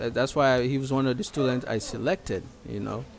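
A man with an American accent speaks at a moderate pace. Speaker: nonprofit founder and video blogger. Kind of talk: vlog voiceover commentary. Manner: halting, many repetitions and fillers.

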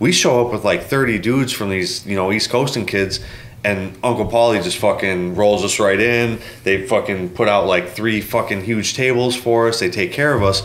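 Over noticeable background noise, a man with an American accent speaks at a moderate pace, his fairly low pitch following a fairly even intonation. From US Midwest. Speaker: custom motorcycle builder. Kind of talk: casual chat.

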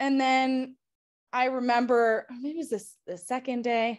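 A woman's high voice at a fairly slow pace, in an American accent. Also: quiet background. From United States. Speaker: former intern, nursing. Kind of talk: panel interview. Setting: video call. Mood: warm, cheerful. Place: home room. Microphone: video call.

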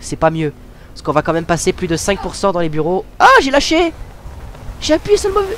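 A man speaking at a moderate pace with long, frequent pauses over noticeable background noise. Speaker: gamer. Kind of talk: casual gameplay commentary. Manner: informal, hesitant, with swearing.

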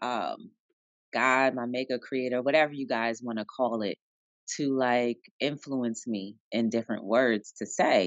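A woman with an American accent speaks at a very deep, low pitch. Her pace is fairly slow, in a dry sound with no echo. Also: fairly even intonation, quiet background. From New Jersey, Jersey City. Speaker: author and entrepreneur. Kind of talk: interview. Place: office. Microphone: video call.

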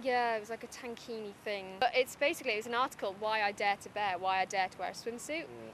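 In a Teesside accent, a woman with a fairly high pitch speaks at a very fast pace with hardly any pauses, ordinary pitch variation and big swings in loudness, the sound dry with no echo and light background noise. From Middlesbrough. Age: young. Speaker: writer and poet. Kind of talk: interview answer. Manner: casual, chatty. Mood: candid, slightly nervous laughter.

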